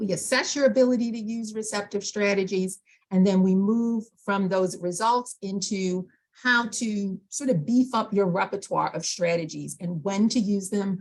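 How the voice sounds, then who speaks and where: A woman's medium-pitched, somewhat breathy voice in an American accent, at a moderate pace. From New York. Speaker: aural rehabilitation specialist. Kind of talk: presentation to a support group meeting.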